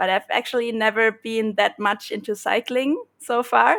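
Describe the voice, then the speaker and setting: A woman's plain, everyday voice, fairly high-pitched with fairly even intonation, at a moderate pace on a very clean recording with a silent background. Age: 30s. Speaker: bike traveler. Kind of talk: interview podcast.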